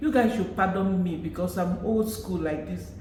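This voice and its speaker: With a Nigerian accent, the speaker talks at a moderate pace with ordinary pitch variation, amid audible room echo and noticeable background noise. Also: woman. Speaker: YouTuber. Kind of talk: casual vlog commentary.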